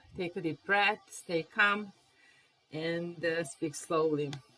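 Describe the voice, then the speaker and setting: A woman's fairly low voice at a very slow pace, with ordinary pitch variation. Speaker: language teacher. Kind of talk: live-stream lesson. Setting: live stream.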